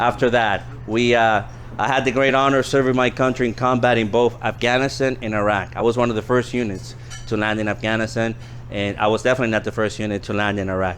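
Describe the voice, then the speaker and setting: A man talks at a very fast pace with monotone, flat intonation. Noticeable background noise runs underneath. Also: medium pitch for a man. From US East Coast, born in the Dominican Republic. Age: 40s. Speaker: political candidate and Marine veteran. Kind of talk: campaign speech.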